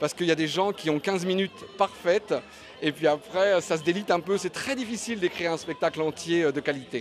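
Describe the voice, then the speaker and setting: A high-pitched man with a Belgian accent, fairly quick, ordinary pitch variation, and music in the background. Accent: Belgian-sounding. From Paris, France. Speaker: stand-up comedian. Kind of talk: interview. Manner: hesitant, many euhs.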